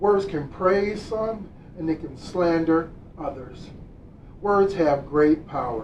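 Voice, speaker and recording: Over noticeable background noise, a man with a high-pitched voice talks at a very slow pace. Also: ordinary pitch variation. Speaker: minister giving a Sunday service talk. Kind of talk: sermon / spiritual lesson delivered to an online congregation. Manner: calm, warm, guiding a prayer and meditation.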